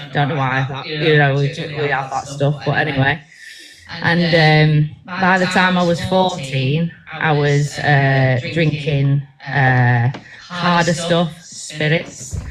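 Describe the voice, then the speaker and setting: Over noticeable background noise, a woman talks at a very slow pace with a very deep, low pitch and fairly even intonation. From Manchester, England (born in Bangor, Wales). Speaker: ministry team member giving testimony. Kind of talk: testimony. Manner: halting, many fillers.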